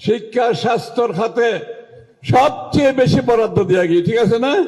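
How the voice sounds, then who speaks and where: A man with a Chittagong accent speaks at an extremely high pitch, with ordinary pitch variation. Noticeable background noise runs behind him. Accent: Chittagonian dialect. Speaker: politician, finance minister. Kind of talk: political rally speech. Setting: outdoors. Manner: humorous.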